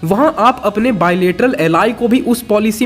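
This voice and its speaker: High pitch from a man, fairly slow delivery, noticeable noise in the background. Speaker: YouTube movie explainer. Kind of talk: scripted narration.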